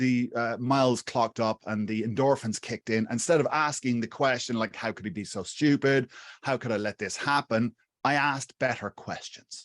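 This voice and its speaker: A man speaks with an Irish accent at a medium pitch, with ordinary pitch variation. The sound is dry and close with no echo, and the background is quiet. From Ireland, Wexford (southeast). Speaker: YouTube marketing coach. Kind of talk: interview. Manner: halting, many fillers and restarts.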